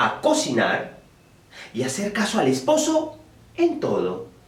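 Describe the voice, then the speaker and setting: A man with a Peruvian accent speaks at a very slow pace. Background noise can be clearly heard. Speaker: storyteller. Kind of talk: oral folk tale telling.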